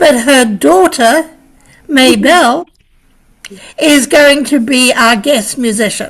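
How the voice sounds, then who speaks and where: The speaker goes at a very slow pace with long, frequent pauses and ordinary pitch variation. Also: woman, high pitch for a woman. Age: 70s. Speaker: community member at advisory board meeting. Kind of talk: meeting announcement.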